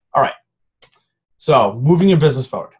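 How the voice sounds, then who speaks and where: A somewhat breathy voice at a very fast pace. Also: man. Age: 20s. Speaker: fitness business team coach. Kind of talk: team call training talk. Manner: casual, filler-heavy.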